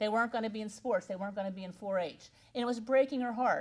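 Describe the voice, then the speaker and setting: In a central Pennsylvania accent, a woman with a medium pitch speaks in a somewhat breathy voice with ordinary pitch variation. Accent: central Pennsylvania American. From central Pennsylvania (Juniata County). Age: 60s. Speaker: keynote speaker, agricultural educator. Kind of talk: keynote speech. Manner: animated.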